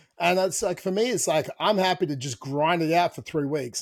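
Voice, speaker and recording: With an Australian accent, a man speaks at a fairly quick pace and a high pitch with ordinary pitch variation, in a very clean, dry, close recording with no echo and a silent background. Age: 30s. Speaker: fitness coach and podcast host. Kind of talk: casual chat.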